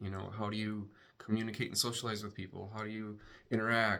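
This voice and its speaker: A man with a bright, sharp tone and a fairly low pitch speaks at a fairly quick pace. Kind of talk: casual vlog monologue. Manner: halting, with hesitations and repetitions; words sometimes switched or jumbled.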